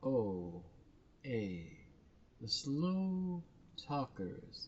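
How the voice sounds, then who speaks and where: Swinging very widely in pitch, this man's voice carries a somewhat breathy quality. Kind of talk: casual commentary.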